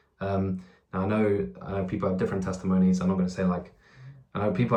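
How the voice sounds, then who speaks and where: A man's very deep, low voice with an English accent. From England. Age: 20s. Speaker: YouTuber. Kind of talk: testimony. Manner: halting, with fillers and repeats.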